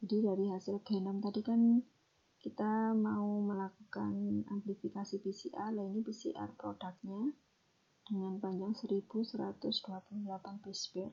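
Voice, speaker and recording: A woman with a dark, mellow tone sounds somewhat breathy, her intonation fairly even. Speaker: lecturer. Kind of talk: recorded lecture explanation. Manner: whispered; some stumbling words.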